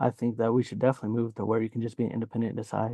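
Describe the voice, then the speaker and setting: A soft-spoken man at medium pitch, dark and mellow in tone, with a dry, close sound and no echo. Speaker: audience member, veteran. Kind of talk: casual discussion. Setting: video call from office.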